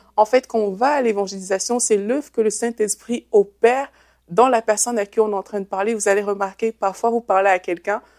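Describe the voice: This woman talks fairly quickly at a medium pitch, her tone slightly mellow. The sound is dry and close, with no echo. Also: fairly even intonation.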